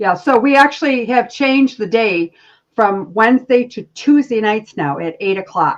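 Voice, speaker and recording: A woman with an unremarkable speaking voice talks at a moderate pace, fairly high in pitch and lively in intonation. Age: 60s. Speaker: spiritual healer. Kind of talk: casual chat.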